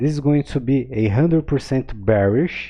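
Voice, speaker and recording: Speaking with a non-native accent, a man uses ordinary pitch variation. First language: not English. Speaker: crypto trading analyst. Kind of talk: chart analysis tutorial. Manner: casual, filler-heavy with many okays.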